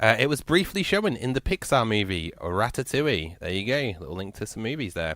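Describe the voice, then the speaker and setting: In a very clean recording with a silent background, a man with a Yorkshire accent speaks with vocal fry. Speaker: radio host. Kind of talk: radio show chat. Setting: radio studio. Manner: slurred speech; casual, chatty.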